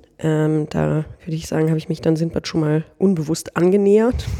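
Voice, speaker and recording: A woman's fairly low, dark, mellow voice at a fairly quick pace. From northern Germany. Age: 30s. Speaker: social business executive. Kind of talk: interview. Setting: studio.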